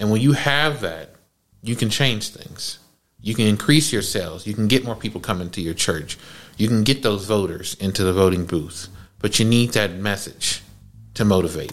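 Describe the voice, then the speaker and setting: A man with an American accent talks in a plain, everyday voice, his pitch fairly low. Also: ordinary pitch variation, moderate pace. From US West Coast, Oakland. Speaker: podcast host. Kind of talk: casual chat.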